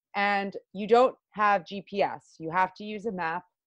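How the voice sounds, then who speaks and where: Against a quiet background, a woman speaks with ordinary pitch variation, the sound dry and close with no echo. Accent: Long Island. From US Northeast, Long Island, New York. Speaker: pro adventure racer. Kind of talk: interview. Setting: remote call.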